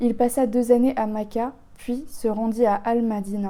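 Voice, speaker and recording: A woman speaks at a very slow pace. Her fairly high voice has a dark, mellow tone. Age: 20s. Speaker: YouTuber. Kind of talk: reading aloud. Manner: halting.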